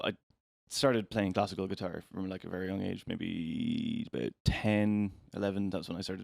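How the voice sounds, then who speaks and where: A man's fairly low voice with an Irish accent, at a moderate pace, in a dry, close sound with no echo. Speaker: musician. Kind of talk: casual interview. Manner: halting.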